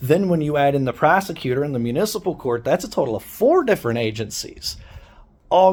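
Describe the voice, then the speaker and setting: A man speaks loud and animated at a fairly quick pace, his fairly high pitch swinging very widely. The recording is very clean with a silent background. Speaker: activist vlogger. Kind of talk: angry rant.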